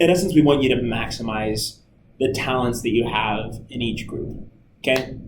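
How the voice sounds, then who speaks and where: Vocal fry runs through this man's energetic tone. Audible room echo surrounds his voice. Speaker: camp staff trainer. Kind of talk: recorded training talk. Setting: screen recording with webcam. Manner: loud; casual, energetic.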